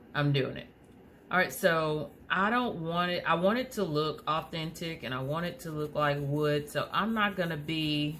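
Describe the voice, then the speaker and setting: In a room with audible echo, a woman with a very deep, low pitch talks at a moderate pace with ordinary pitch variation. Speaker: crafter, tutorial maker. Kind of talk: tutorial. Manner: hesitant, many fillers.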